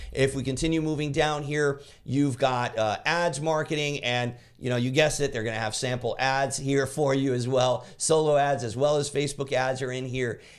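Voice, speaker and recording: Over a silent background in a very clean recording, a man speaks at a fairly high pitch. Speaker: affiliate marketing reviewer. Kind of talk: screen-share product walkthrough. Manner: fast; enthusiastic.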